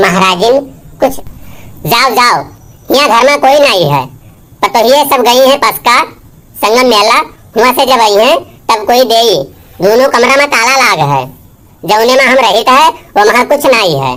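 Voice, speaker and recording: A woman's high-pitched cartoonish character voice, very even in loudness, broken by long, frequent pauses. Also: moderate pace, lively intonation. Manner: scolding, blunt.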